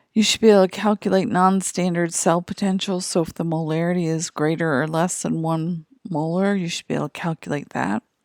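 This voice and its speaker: A woman with an unremarkable speaking voice talks at a fairly quick pace with hardly any pauses, at fairly low pitch and with fairly even intonation. The sound is dry and close with no echo, on a very clean recording with a silent background. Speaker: chemistry teacher. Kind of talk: lecture.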